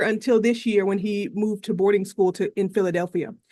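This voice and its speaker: A woman with an American accent talks in a fairly high pitch with fairly even intonation. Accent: Southern US accent, toned down. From US South, North Carolina. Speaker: professor giving testimony. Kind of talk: legislative testimony.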